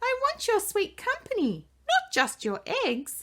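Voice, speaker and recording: A woman performs a squeaky, put-on character voice at an extremely high pitch, with very wide pitch swings and a fairly slow pace. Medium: read story.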